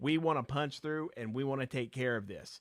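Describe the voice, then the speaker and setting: An animated tone in a Virginia accent, with ordinary pitch variation. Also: man. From southwestern Virginia. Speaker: pharmacist advocate, live stream host. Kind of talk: live stream advocacy talk. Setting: live stream.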